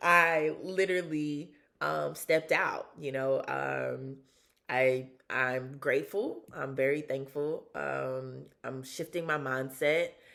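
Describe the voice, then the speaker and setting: A woman with a Southern US accent speaks at a very slow pace. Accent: Southern US, country twang. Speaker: vlogger, former sports reporter and model. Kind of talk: casual personal vlog. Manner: casual with frequent fillers.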